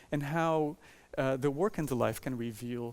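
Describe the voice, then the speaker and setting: In a very clean recording with a silent background, a man with a Portuguese accent talks at a moderate pace and medium pitch with ordinary pitch variation. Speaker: architecture professor and author. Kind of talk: lecture. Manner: halting, with many fillers.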